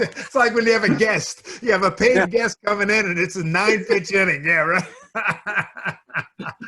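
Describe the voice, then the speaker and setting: With a raised, projected voice, a man talks at a moderate pace, his pitch high and his pitch variation ordinary. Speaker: sports broadcaster, show host. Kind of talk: interview host conversation.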